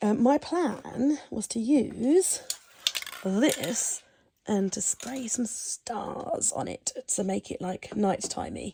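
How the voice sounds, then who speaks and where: A woman whispering very slowly in an English accent, with a dry, close sound and no echo. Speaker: vlogger. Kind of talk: casual vlog talk. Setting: at home at her desk. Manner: hesitant, lots of ums.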